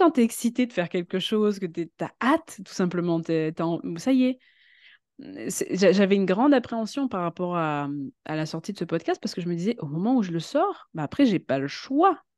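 Recorded with a dry, close sound with no echo against a quiet background, a woman talks at a fairly quick pace with very wide pitch swings. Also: medium pitch for a woman. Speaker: web writer and voice-over actress. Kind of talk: casual chat. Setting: studio. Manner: halting.

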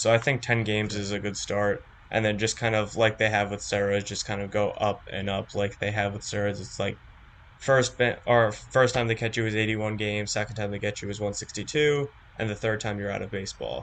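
Here a man talks at a fairly quick pace, fairly low in pitch, with fairly even intonation. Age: young. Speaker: college student and sports fan. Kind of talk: casual chat. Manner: halting.

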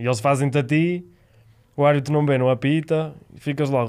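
In a very clean recording with a silent background, a man speaks at medium pitch and a moderate pace with fairly even intonation. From Spain. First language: Spanish (speaking Portuguese). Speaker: roller hockey player. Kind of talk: casual chat.

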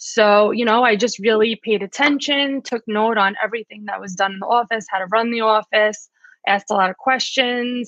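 With a New York accent, a woman speaks at a fairly high pitch and with fairly even intonation. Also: moderate pace. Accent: New York American. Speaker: physical therapist, rehab director. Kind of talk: interview.

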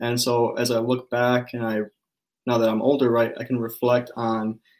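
In a normal speaking voice, a man talks at a moderate pace with a medium pitch. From US Midwest, Chicago. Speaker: graduate student researcher. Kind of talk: interview.

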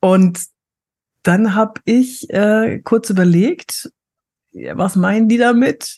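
A woman with a dark, mellow tone and fairly high pitch speaks very slowly and somewhat breathily, with long, frequent pauses, ordinary pitch variation, very even loudness, and a dry, close sound with no echo. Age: 50s. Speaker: actress and body language trainer. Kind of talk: casual interview.

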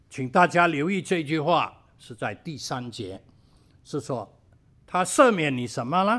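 This man talks at a very slow pace with a bright, sharp tone. His pitch swings very widely and his loudness swings a lot, on a very clean recording with a silent background. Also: fairly high pitch for a man. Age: old. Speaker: pastor. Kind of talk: sermon.

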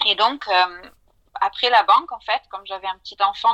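Bright and sharp in tone, a woman speaks at medium pitch with ordinary pitch variation in a dry, close sound with no echo. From southern France. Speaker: financial advisor. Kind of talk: interview.

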